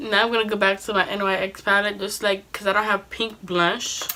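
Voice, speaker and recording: Noticeable background noise can be heard as a woman speaks. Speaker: beauty vlogger. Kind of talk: tutorial. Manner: casual.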